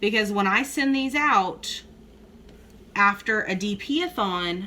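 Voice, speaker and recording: A woman with a bright, sharp tone and a South Texas accent speaks at a fairly slow pace, her fairly high voice carrying lively intonation. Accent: Southern Texas. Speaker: crafting YouTuber. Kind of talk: casual chat.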